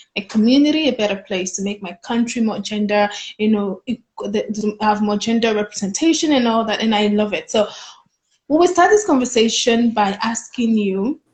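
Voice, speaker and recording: A woman's somewhat breathy, fairly high voice with ordinary pitch variation, at a moderate pace. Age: young. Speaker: student interviewer. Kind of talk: casual interview chat. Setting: live video call.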